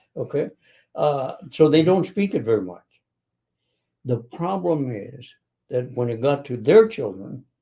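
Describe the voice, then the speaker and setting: A man with an American accent, a dark, mellow tone and a somewhat breathy quality, fairly slow pace, very wide pitch swings and long, frequent pauses. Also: fairly high pitch for a man. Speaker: retired business leader. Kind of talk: interview. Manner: halting.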